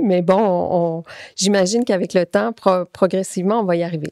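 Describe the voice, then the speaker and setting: A woman with a Quebec accent speaks at a medium pitch, with ordinary pitch variation and a dark, mellow tone. The sound is dry and close, with no echo. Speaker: clinical pharmacist and researcher. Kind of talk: conference talk. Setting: conference with audience. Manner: hesitant, many fillers.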